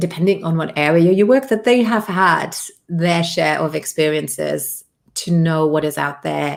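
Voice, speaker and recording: A British accent with lively intonation at a moderate pace, on a very clean recording with a silent background. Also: woman. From Luxembourg. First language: Luxembourgish. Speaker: business coach. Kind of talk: interview.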